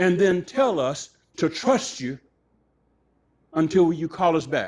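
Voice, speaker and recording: A man with an American accent speaks at a very slow pace. His high-pitched voice has lively intonation. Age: 70s. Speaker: judge and preacher giving a public lecture. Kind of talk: public lecture Q&A. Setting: restaurant event with live audience. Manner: animated.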